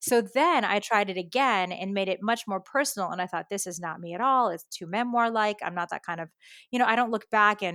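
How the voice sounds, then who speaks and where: With a US Northeastern accent, a woman talks at a fairly quick pace in a bright, sharp tone with ordinary pitch variation. The recording is very clean, with a silent background. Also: medium pitch for a woman, dry, close sound with no echo. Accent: US Northeast. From US Northeast, New York and Connecticut. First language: Japanese. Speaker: education expert and author. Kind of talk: podcast interview.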